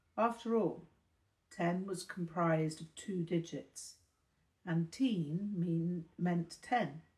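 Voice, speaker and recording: At a very slow pace, a woman with a British accent speaks at a fairly low pitch, somewhat breathy, with ordinary pitch variation. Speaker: audiobook narrator. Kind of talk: reading aloud a novel, first-person narration. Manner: formal, literary delivery.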